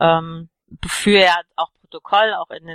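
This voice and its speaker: A woman's bright, sharp voice at fairly low pitch with fairly even intonation, dry and close with no echo. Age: 30s. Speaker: political party candidate. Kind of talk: interview.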